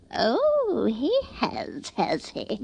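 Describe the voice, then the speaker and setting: The voice is a put-on character. It sits high in pitch. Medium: old radio play. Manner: imperious, haughty.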